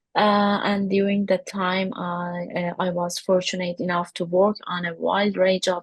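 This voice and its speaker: A woman with an Iranian accent speaks at a fairly slow pace in a somewhat breathy, medium-pitched voice with monotone, flat intonation. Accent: Persian (Iranian). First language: Persian. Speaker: workshop participant, UX designer. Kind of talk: self-introduction. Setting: video call. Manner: halting, many fillers.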